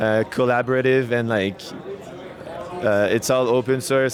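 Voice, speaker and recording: Intonation stays monotone and flat at a moderate pace, with noticeable background noise. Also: man. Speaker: co-founder of a crypto deployment tool. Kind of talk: interview at a conference. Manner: hesitant, many fillers and false starts.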